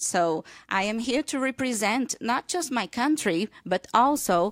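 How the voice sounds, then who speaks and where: A woman with a Brazilian accent speaks at a fairly slow pace, her pitch fairly high and her intonation lively. The sound is dry with no echo, and the background is quiet. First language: Portuguese. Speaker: visiting English teacher. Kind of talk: radio interview. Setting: studio. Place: studio.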